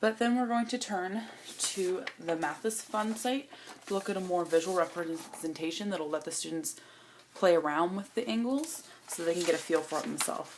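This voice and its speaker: Over noticeable background noise, a woman at medium pitch talks at a moderate pace with lively intonation. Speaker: student teacher presenting a lesson plan. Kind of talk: lesson plan presentation.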